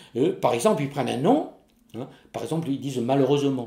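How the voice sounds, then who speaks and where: A man speaks in a dark, mellow tone with vocal fry. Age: 70s. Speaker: Corsican language teacher. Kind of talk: interview testimony.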